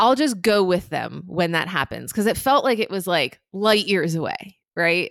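A woman speaks at a moderate pace with a medium pitch and lively intonation. Her voice has vocal fry, and she hardly pauses at all. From New Jersey. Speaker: entrepreneur. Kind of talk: interview.

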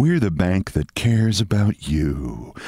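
A man in a put-on character voice, very deep and low, with very wide pitch swings at a fairly slow pace. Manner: bad, insincere ad-read.

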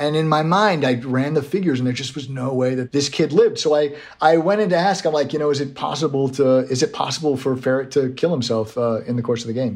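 The pace is very fast, with hardly any pauses. Pitch varies in an ordinary way. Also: man. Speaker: writer. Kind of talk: casual interview. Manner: self-deprecating, halting.

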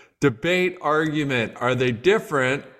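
A man talks in a normal speaking voice at a moderate pace with ordinary pitch variation. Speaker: podcast host. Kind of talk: interview conversation.

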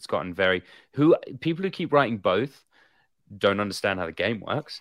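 On a very clean recording with a silent background, a man with an English accent talks fairly quickly with lively intonation. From England. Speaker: actor and podcast co-host. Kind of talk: casual chat on live show. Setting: livestream with chat. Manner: animated.

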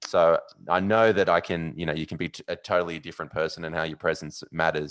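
This man speaks very fast in an Australian accent, his pitch very deep and low. His intonation stays fairly even against a quiet background. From Australia, Sydney. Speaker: sports TV presenter and podcaster. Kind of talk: casual interview chat.

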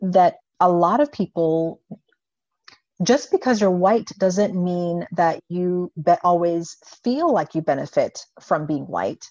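In an ordinary speaking voice, a woman speaks at a fairly slow pace with a fairly low pitch and ordinary pitch variation, in a dry, close sound with no echo. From US Virgin Islands (St. Croix). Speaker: pediatric psychologist. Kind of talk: interview.

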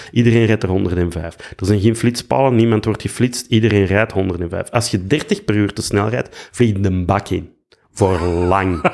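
A man speaks in a Flemish accent. His pitch sits fairly low. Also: ordinary pitch variation, fairly slow pace. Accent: Flemish Dutch. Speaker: actor and musician. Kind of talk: casual chat.

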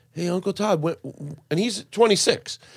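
A man speaks with ordinary pitch variation. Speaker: comedian guest. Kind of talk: casual chat.

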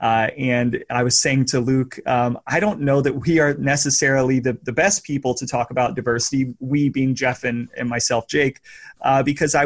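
A man with an unremarkable speaking voice talks at a medium pitch and a moderate pace with fairly even intonation on a very clean recording with a silent background. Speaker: podcast host. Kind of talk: casual chat.

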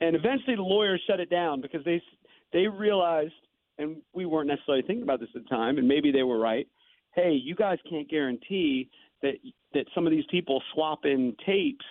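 This man has an unremarkable speaking voice with a fairly high pitch. He talks at a fairly quick pace with lively intonation. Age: 50s. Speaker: morning sports radio host and author. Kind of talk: casual interview. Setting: guest line into radio studio.

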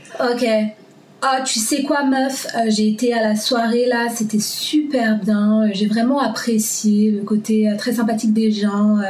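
A woman with a French accent speaks with fairly even intonation against noticeable background noise. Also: fairly high pitch for a woman, moderate pace. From Paris, France. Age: 20s. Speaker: bank worker. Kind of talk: casual interview chat. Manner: aggressive when she talks.

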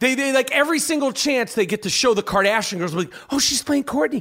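Recorded very cleanly against a silent background, the voice moves at a fairly quick pace with an animated tone and lively intonation. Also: man. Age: 40s. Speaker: podcast host. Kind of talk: casual chat.

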